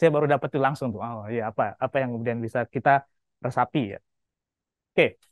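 The sound is dry with no echo and the background quiet as a man talks at a very fast pace. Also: medium pitch for a man. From Lombok, Indonesia. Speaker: university lecturer. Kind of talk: lecture. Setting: classroom. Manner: animated. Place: classroom.

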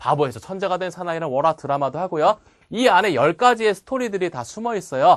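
An animated voice moves at a fairly quick pace on a very clean recording with a silent background. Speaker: memorization course instructor. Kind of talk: lecture.

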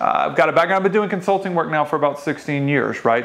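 A man speaks at a very fast pace with a Southern US accent. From Louisiana. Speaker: podcast host in the pipeline industry. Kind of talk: casual chat. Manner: fast talker; joking. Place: office. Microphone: lapel.

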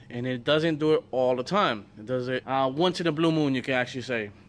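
Fairly quick male speech with fairly even intonation. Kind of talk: casual vlog chat. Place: garage. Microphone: phone near.

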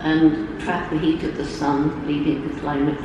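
Amid strong room echo and noticeable background noise, a woman speaks at a fairly slow pace in a very deep, low pitch. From England. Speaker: primatologist and environmental activist. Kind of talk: keynote speech. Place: hall.

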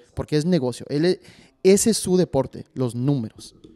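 A man with a fairly high pitch, a dark, mellow tone, ordinary pitch variation and a moderate pace, over a quiet background. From Mexico, San Luis Potosí. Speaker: podcast host. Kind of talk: casual chat. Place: studio. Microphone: studio mic.

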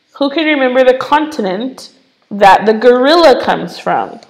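In an American accent, a woman with a high pitch speaks with ordinary pitch variation, and room echo is audible. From United States. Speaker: English teacher. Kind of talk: online lesson for children. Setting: live stream with screen share. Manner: animated.

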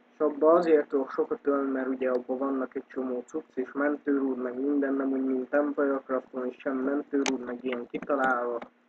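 A man's medium-pitched, monotone, flat delivery at a fairly quick pace with hardly any pauses. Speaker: gaming youtuber. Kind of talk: gameplay commentary. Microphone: poor microphone, keyboard audible.

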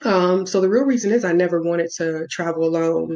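A woman with an American accent, fairly low pitch, fairly even intonation and a moderate pace. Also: quiet background. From US Midwest, south side of Chicago. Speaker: travel vlogger; new travel vlogger. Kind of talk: casual vlog monologue. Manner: hesitant, many fillers. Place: home room. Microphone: webcam.

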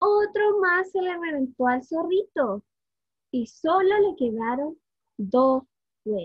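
Warm and playful in tone, a woman talks at a very slow pace with long, frequent pauses, her extremely high pitch swinging very widely in a dry, echo-free sound over a quiet background. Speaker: early childhood education student. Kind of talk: children's storytelling, picture-book read-aloud. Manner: warm, playful, engaging, asking the children questions. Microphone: webcam.

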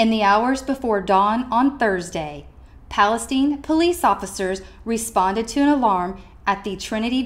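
A woman talks in an unremarkable speaking voice, fairly high in pitch. Her intonation is lively and her pace fairly slow. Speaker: student newscaster. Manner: formal, measured and steady, with crisp, even delivery.

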